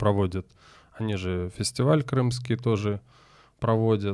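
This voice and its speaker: The background is quiet and the sound is dry with no echo. A man speaks at a medium pitch. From Crimea (Simferopol); Crimea. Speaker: tango teacher. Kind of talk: casual chat. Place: studio. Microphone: studio mic.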